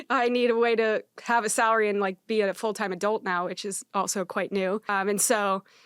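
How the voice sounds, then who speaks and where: Speaking at a fairly quick pace with hardly any pauses, a woman with an American accent and medium pitch sounds dry and close, with no echo. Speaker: startup founder and CEO. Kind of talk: podcast interview. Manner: fast; casual, filler-heavy.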